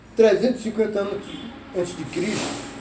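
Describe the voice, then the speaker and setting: A man with fairly even intonation, amid noticeable background noise and audible room echo. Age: 80s+. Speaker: social media commentator. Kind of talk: informal talk to camera. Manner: halting.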